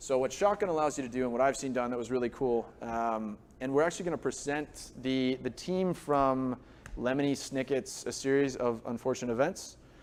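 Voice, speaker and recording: Fairly quick speech from a man, medium in pitch, with ordinary pitch variation. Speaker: software product expert presenter. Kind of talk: presentation to a live audience. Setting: live event with audience. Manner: fast; conversational.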